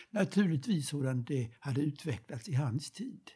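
Talking at a fairly slow pace, a man uses lively intonation in a dark, mellow tone. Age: old. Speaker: retired professor of history of ideas. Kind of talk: reflective conversation. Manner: halting.

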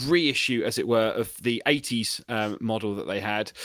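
A man with a British accent, ordinary pitch variation and a bright, sharp tone. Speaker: podcast co-host. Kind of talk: casual chat.

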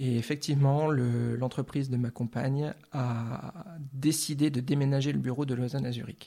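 A man speaks at a medium pitch with a dark, mellow tone and some breathiness. His pace is fairly slow. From France, Lorraine. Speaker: artist. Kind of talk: interview. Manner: halting, repeats words.

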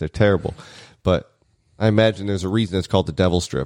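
Very fast and very deep, a man speaks at a low pitch, the sound dry and close with no echo. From small town. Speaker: podcast co-host. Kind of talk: casual chat.

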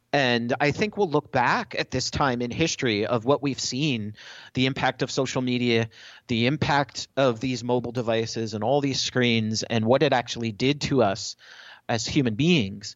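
In an unremarkable speaking voice, a man talks at a moderate pace with medium pitch and ordinary pitch variation. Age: 40s. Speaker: tech company evangelist. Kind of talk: interview.

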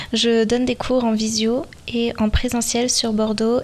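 A woman's fairly high voice in a flat monotone, with noticeable background noise. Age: 20s. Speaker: podcast host, dance teacher. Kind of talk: solo podcast monologue.

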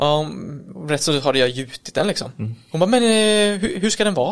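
A high-pitched male voice with very wide pitch swings, moving at a fairly quick pace. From Kalmar, Sweden. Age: 30s. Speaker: electrician and business owner. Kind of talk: casual interview. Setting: recorded on location at an office.

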